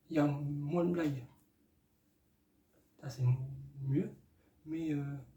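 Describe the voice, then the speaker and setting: Somewhat breathy and dark, mellow in tone, a man's fairly high voice moves at a very slow pace in a flat monotone. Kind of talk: casual movie review to camera. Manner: hesitant, many filler sounds.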